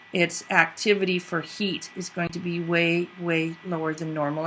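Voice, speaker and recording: Noticeable background noise surrounds a woman whose fairly low voice moves at a fairly slow pace in a monotone, flat intonation. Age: 60s. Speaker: video podcast host. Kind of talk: casual commentary.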